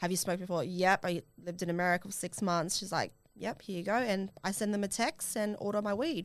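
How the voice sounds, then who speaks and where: With an Australian accent, a woman speaks at a fairly quick pace in a medium-pitched voice with ordinary pitch variation. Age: 20s. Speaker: podcast host. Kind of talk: casual chat.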